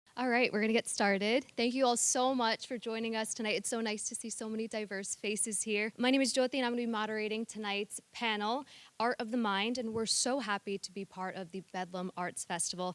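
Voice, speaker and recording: A woman with an American accent talks at a fairly quick pace with hardly any pauses, using a normal speaking voice at a fairly high pitch with fairly even intonation, and the sound is dry and close with no echo. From United States. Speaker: panel moderator. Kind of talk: panel discussion moderation. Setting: theatre stage with audience.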